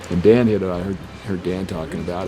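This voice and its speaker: Over music in the background, a man talks at a very fast pace with fairly even intonation and audible room echo. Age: 60s. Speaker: surfer. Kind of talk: interview.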